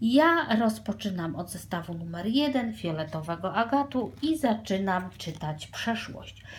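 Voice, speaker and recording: Very wide pitch swings mark this woman's somewhat breathy speech. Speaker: tarot reader. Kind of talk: tarot reading to viewers. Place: home room. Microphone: phone near.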